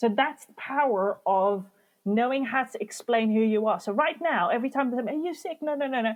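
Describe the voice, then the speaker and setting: A woman talks loudly at a fairly quick pace. Her high voice has lively intonation. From Morocco. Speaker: business mentor and speaker. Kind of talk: podcast interview.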